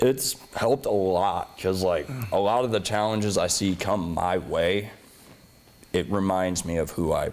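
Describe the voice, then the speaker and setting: A man speaks in a very deep, low pitch with ordinary pitch variation. Noticeable background noise can be heard. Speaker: pro wrestler, tag team champion. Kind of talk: interview.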